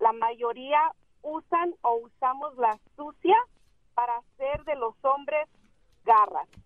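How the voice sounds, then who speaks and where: The speaker has a Mexican accent. The pace is very slow. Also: woman. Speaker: mother of boy who rescued animals. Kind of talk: interview. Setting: phone call. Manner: halting.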